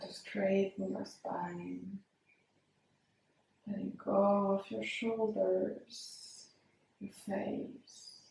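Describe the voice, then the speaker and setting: A woman talks in a calm tone at a very slow pace with long, frequent pauses. Her loudness swings a lot. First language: not English. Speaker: yoga teacher. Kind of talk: guided yoga class. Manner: slow, calm.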